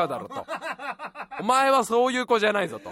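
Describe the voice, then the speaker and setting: Noticeable background noise sits under a raised, projected voice with lively intonation. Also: man. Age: 30s. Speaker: radio podcast host. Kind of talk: casual solo monologue. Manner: animated.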